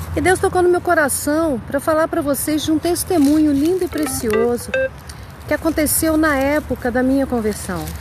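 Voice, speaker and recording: Through noticeable background noise, a woman with a high pitch and ordinary pitch variation speaks at a moderate pace with very even loudness. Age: 60s. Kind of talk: testimony. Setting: outdoors walking her dog.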